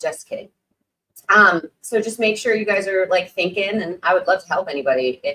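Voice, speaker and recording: A woman's voice sits at a fairly low pitch with a bright, sharp tone. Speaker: live stream host on condom sales marketing. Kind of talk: live stream talk. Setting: live stream. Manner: casual, filler-heavy.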